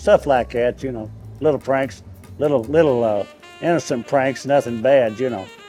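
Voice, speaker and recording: Music in the background behind moderate-paced speech with ordinary pitch variation. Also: man, medium pitch for a man. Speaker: retired auto assembly plant worker. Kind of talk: interview answer.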